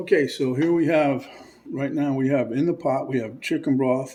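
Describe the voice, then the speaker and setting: A man's ordinary speaking voice, fairly high-pitched, with fairly even intonation. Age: 60s. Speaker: cooking channel host. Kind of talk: cooking tutorial. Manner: casual, rambling with fillers.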